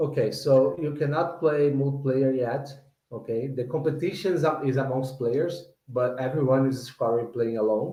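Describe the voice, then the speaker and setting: A man's medium-pitched, somewhat breathy voice with a non-native accent, ordinary pitch variation, a moderate pace and audible room echo. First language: not English. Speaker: game developer. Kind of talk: product Q&A on livestream. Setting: online livestream. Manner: halting, repeating words.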